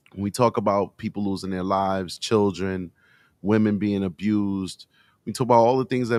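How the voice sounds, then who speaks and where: A man talks at a moderate pace in a monotone, flat intonation. The sound is dry and close with no echo. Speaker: livestream host. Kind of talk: casual livestream chat. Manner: conversational, many fillers.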